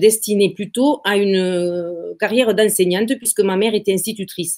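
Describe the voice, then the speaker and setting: A woman talks fairly slowly at a medium pitch, and her pitch variation is ordinary. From southern France, Occitanie (between Béziers and Sète). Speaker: real estate agency founder. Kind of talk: interview. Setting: live video stream. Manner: hesitant, many fillers and repetitions.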